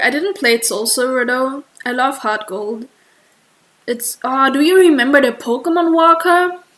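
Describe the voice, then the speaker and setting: Her pitch high and her variation ordinary, a woman speaks with a German accent. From Germany. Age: 20s. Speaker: streamer and artist. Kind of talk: casual livestream chat. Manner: halting.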